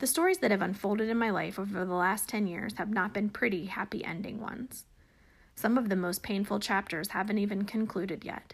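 Speaking at a fairly quick pace, a woman with a somewhat breathy, medium-pitched voice keeps a fairly even intonation in a very clean recording with a silent background. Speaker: podcast host. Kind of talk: casual interview.

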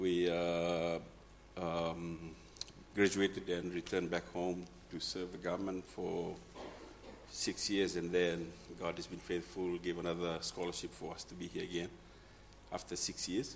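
At a fairly slow pace, a man with very deep, low pitch speaks in a monotone, flat intonation with long, frequent pauses. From Fiji. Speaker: church member, immigrant. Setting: church.

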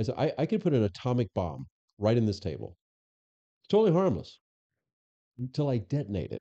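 With an American accent, a man speaks very fast in a medium pitch with very wide pitch swings and long, frequent pauses. His tone is dark and mellow, and the sound is dry and close with no echo. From Florida. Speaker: former police chief and FBI agent. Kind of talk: interview.

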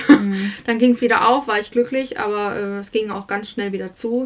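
Speaking at a moderate pace, a woman uses a fairly high pitch with fairly even intonation. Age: 30s. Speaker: singer and estate agent. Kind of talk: interview. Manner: hesitant, many fillers.

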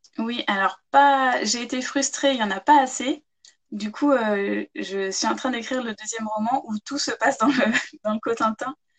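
Her pitch is high, with ordinary variation, and she speaks at a fairly slow pace. The woman's sound is dry and close, with no echo. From France, Chartres (Eure-et-Loir). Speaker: novelist and former photographer. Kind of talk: interview. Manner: hesitant, with many repetitions.

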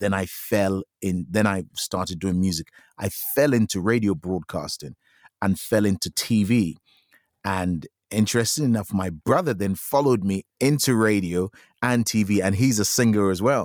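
At a moderate pace, an unremarkable speaking voice with ordinary pitch variation comes through a very clean recording with a silent background and a dry, close sound with no echo. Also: man. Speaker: musician. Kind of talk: casual chat.

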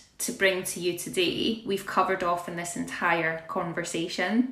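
At a fairly slow pace, a woman speaks with ordinary pitch variation amid noticeable background noise and audible room echo. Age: 30s. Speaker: podcast host. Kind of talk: casual interview chat.

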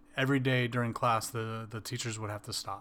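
A man with an American accent at a medium pitch, moderate pace and monotone, flat intonation. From Wisconsin. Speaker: podcast co-host. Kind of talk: casual chat.

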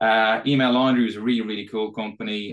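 A man speaks with an Irish accent at a fairly low pitch. The background is quiet. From Ireland. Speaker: tech company executive guest. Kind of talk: casual interview chat.

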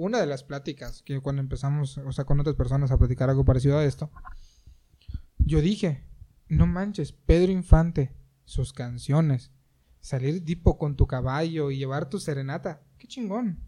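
A man's fairly high-pitched voice, dark and mellow in tone and somewhat breathy, with ordinary pitch variation and a moderate pace. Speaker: podcast co-host. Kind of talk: casual chat.

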